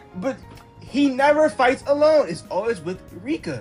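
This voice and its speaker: At a moderate pace, a man speaks over music in the background. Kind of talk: casual anime commentary.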